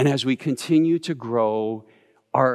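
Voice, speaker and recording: Recorded very cleanly against a silent background, a man speaks with ordinary pitch variation. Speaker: pastor. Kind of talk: sermon. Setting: pre-recorded video shown in church.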